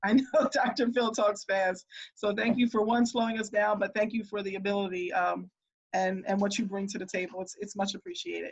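A woman talks at a fairly quick pace with a medium pitch. Her voice is somewhat breathy. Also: ordinary pitch variation. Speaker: school district administrator. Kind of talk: virtual town hall address. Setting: video call. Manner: fast.

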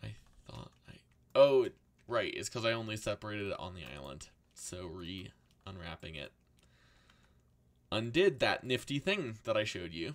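In a put-on character voice, a man sounds raspy at a fairly low pitch, with lively intonation, a moderate pace and long, frequent pauses. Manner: muttering.

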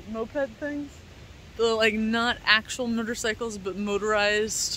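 A woman speaks at a fairly slow pace with fairly even intonation, her dry sound carrying no echo over light background noise. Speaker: travel vlogger. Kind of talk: casual vlog chat. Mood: cheerful, laughing. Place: waterside. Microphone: phone near.

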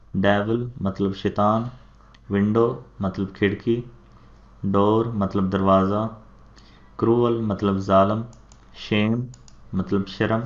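A man in a Punjabi accent with monotone, flat intonation. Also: fairly low pitch for a man. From Pakistan. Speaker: teacher. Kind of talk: vocabulary lesson.

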